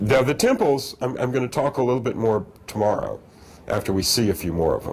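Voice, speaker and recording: A man talks at a fairly quick pace in a medium pitch with ordinary pitch variation. He has an unremarkable speaking voice. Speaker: lecturer. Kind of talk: lecture with audience Q&A.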